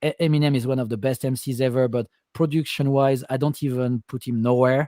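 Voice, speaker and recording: Dry and close with no echo, a man's dark, mellow voice at medium pitch moves at a fairly quick pace with a non-native accent. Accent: foreign accent, self-described. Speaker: music producer. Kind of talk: casual chat. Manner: halting, repeats words.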